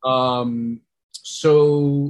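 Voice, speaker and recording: Here a man speaks with a New York accent. His intonation is fairly even. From New York, Puerto Rican family. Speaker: storytelling consultant and meditation instructor. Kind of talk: interview.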